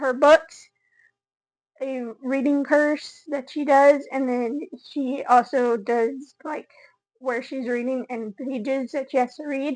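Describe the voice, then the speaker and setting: A woman with a high-pitched voice speaks very slowly in a monotone, flat way, her loudness swinging widely. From Texas panhandle (small town). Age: 20s. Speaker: content creator. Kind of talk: casual vlog introduction. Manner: casual, filler-heavy (uh, um, like).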